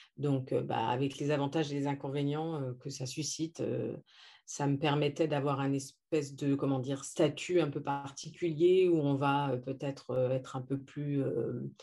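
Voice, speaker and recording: On a very clean recording with a silent background, a woman with a very deep, low pitch and a dark, mellow tone talks at a fairly slow pace in a monotone, flat intonation. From France. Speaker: naturopath and coach. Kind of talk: interview. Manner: hesitant, many fillers.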